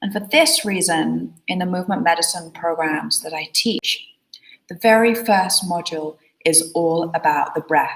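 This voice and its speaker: Her pitch is fairly low with ordinary variation as this woman speaks fairly slowly in a calm, soothing tone. Her loudness swings widely. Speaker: osteopath and movement teacher. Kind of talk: wellness tutorial.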